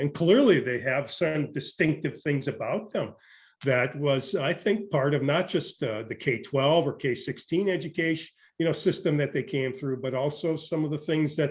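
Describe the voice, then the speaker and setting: Somewhat breathy, fairly high male voice at a moderate pace, with a quiet background. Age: 60s. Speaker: education professor. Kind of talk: interview. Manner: halting, many fillers and repetitions.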